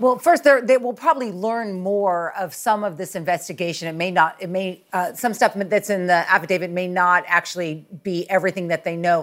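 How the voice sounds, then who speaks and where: At a fairly quick pace with hardly any pauses, a normal speaking voice moves with ordinary pitch variation. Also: woman, medium pitch for a woman. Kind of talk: TV news interview.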